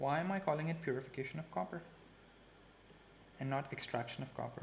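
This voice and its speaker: Over noticeable background noise, the speaker talks very fast with ordinary pitch variation. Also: man, fairly high pitch for a man. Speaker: chemistry teacher. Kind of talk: live online lesson. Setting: live stream. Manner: casual, chatty.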